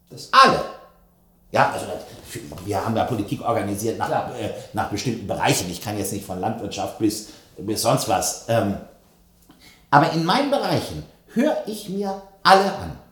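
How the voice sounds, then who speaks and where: With long, frequent pauses, a medium-pitched man makes very wide pitch swings and big swings in loudness in a room with audible echo. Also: moderate pace. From West Germany. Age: 50s. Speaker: politician. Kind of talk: interview. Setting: studio.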